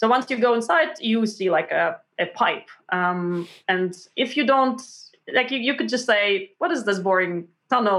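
A fairly high-pitched woman with a Russian accent and a bright, sharp tone. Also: quiet background. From Montreal, Canada (born in Russia). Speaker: science journalist and author. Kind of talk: interview. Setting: remote call.

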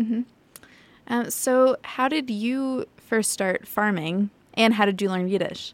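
At a fairly slow pace, a woman talks in a normal speaking voice, fairly high in pitch with ordinary pitch variation. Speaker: podcast interviewer. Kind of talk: interview.

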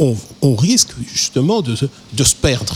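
Very slow speech with very wide pitch swings is captured in a dry, close sound with no echo. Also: man. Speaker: musician. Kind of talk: interview. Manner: halting.

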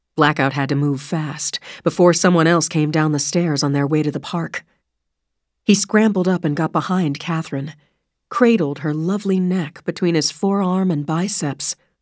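With an unremarkable speaking voice, a woman talks at a moderate pace and fairly low pitch with ordinary pitch variation, on a very clean recording with a silent background. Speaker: audiobook narrator. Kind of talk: dramatic audiobook narration of a thriller. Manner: tense, suspenseful, measured pacing; shifts into sharp, pained voices for character dialogue.

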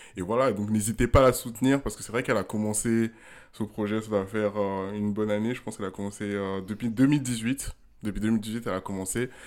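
Delivered at a very fast pace with fairly even intonation, the speech comes on a very clean recording with a silent background. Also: man. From Ghana. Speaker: podcast co-host. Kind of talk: casual chat.

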